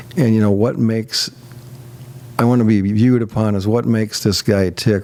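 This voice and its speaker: A man's fairly quick, fairly even delivery against noticeable background noise. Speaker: guest sharing life story. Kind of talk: interview testimony.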